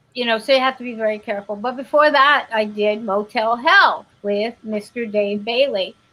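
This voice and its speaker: This woman has an ordinary speaking voice with a fairly high pitch and ordinary pitch variation. She keeps a moderate pace with hardly any pauses. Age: 50s. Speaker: actress. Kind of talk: casual chat.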